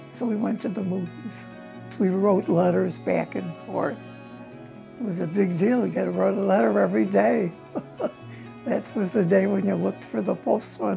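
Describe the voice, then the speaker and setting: A woman speaks with an American accent at a moderate pace, leaving long, frequent pauses. Music plays in the background. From Chicago. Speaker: grandmother sharing family memories. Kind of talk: interview answer.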